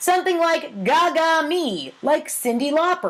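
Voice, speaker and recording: In a put-on character voice, the speaker talks at a high pitch and a moderate pace. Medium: read story. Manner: hesitant.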